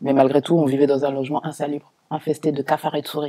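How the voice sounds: Fast, fairly high-pitched male speech, dark and mellow in tone, slightly husky at the edge, with little pitch movement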